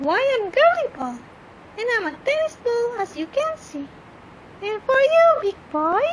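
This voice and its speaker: A woman puts on a squeaky, cartoonish character voice at an extremely high pitch, with very wide pitch swings and long, frequent pauses at a moderate pace. Clear background noise is present. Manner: chirpy, flirtatious.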